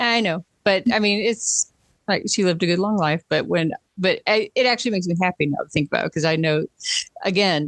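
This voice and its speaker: Someone with a slight Southern US accent speaks at a fairly quick pace against a quiet background. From US South. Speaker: podcast co-host. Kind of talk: casual chat.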